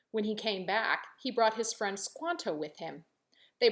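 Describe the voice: The plain reading aloud carries lively intonation over a quiet background.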